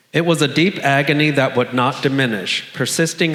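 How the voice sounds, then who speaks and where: A man with an American accent at a fairly slow pace, with audible room echo. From US South, South Florida. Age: 60s. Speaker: storyteller sharing a personal HIV story. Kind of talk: personal storytelling on stage, read from script.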